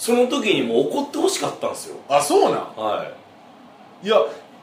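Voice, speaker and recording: A man talks at a very fast pace. There is audible room echo and noticeable background noise. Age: 40s. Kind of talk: casual chat.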